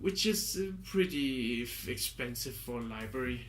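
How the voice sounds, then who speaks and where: A man speaks with a non-native accent. Audible room echo surrounds his voice. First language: not English. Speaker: music composer and product reviewer. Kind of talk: product review. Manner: halting, with many fillers.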